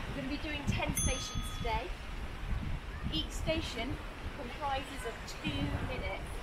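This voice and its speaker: A woman talks at a moderate pace. Loud background noise runs throughout. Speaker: fitness instructor. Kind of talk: exercise class instruction. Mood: warm, encouraging. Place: beach.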